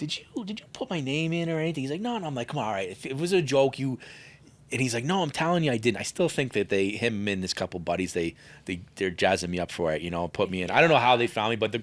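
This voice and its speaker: The recording is very clean, with a silent background, as a man talks with an American accent at a very fast pace. His pitch sits in the medium range but makes very wide swings. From US Northeast, New York state. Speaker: pastry chef and baking instructor. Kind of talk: interview storytelling. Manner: casual, animated.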